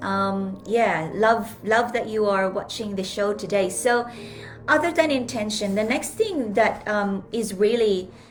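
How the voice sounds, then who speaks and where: With music in the background and audible room echo, a woman with a Filipino accent talks at a fairly slow pace and a fairly high pitch. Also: ordinary pitch variation. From Philippines. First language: Filipino language. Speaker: life coach and speaker. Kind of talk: live stream talk.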